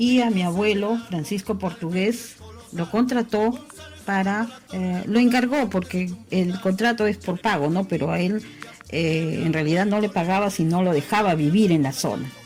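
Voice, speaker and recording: A woman speaks at a medium pitch and a fairly slow pace, with ordinary pitch variation and music in the background. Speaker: long-time resident interviewee. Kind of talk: interview testimony. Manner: hesitant, with fillers.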